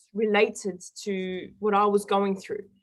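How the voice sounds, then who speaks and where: A woman talks with an Australian accent in a medium pitch. Her pace is fairly slow. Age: 20s. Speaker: guest sharing personal recovery story. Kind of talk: interview testimony.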